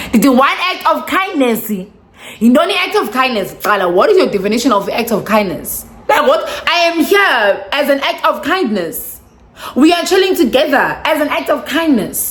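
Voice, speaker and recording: A woman's high, animated voice at a moderate pace, with very wide pitch swings. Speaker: vlogger. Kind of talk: storytime vlog. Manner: animated, code-switching.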